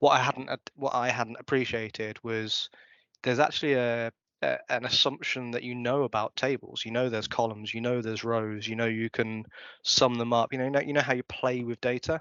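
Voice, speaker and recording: A man talks at a fairly quick pace and a medium pitch. His intonation is monotone and flat. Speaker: conference speaker. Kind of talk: conference talk. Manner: fast.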